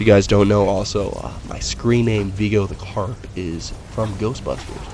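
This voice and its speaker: A man speaks with a fairly low pitch. Noticeable background noise and audible room echo surround him. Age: 20s. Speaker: gaming video host and writer. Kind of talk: let's play commentary. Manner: casual, with filler words.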